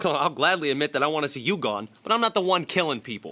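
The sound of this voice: In a put-on character voice, a man talks fast with a fairly high pitch, big pitch swings and a bright, sharp tone.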